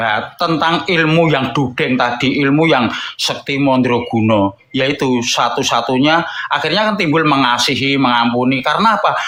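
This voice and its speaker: A man speaks in a strong Javanese accent at a moderate pace and fairly high pitch. His intonation is lively and his loudness very even. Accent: thick Javanese. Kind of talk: religious discussion.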